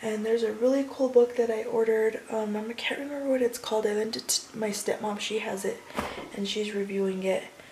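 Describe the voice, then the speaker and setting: With light background noise behind her, a woman speaks at a fairly quick pace with fairly even intonation. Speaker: vlogger. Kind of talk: casual vlog chat. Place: kitchen. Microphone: phone near.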